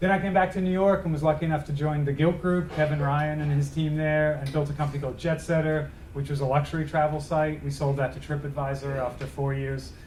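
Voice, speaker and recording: The delivery is very fast and monotone, with flat intonation and audible room echo. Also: man, fairly high pitch for a man, hardly any pauses. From Australia, Melbourne. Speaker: tech executive. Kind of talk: lecture. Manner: casual.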